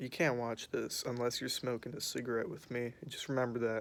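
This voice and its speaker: A quiet man rushes along at a very fast pace with a medium pitch. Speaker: vlogger. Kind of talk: casual chat. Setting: outdoors. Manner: hesitant, filler-heavy.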